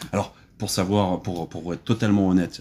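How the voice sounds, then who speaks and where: Over a very clean recording with a silent background, a man with a very deep, low pitch speaks at a fairly quick pace. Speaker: podcast host interviewer. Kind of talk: casual interview chat. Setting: indoors on a sofa, dim light.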